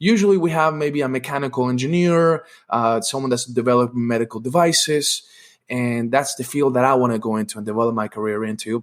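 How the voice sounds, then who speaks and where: Fairly quick pace and ordinary pitch variation in a very clean recording with a silent background. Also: man. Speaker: podcast host. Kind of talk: podcast interview. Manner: hesitant, many fillers.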